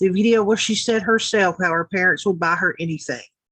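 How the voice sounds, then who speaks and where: A woman's fairly quick, animated delivery in a Southern US accent, at a medium pitch with ordinary pitch variation and a bright, sharp tone. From US South (Tennessee). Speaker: YouTube commentator. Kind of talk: reaction commentary.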